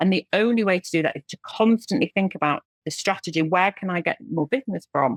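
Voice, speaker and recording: In an English accent, a woman speaks at a moderate pace with a medium pitch and lively intonation. The sound is dry and close, with no echo. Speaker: recruitment agency owner. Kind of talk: podcast interview.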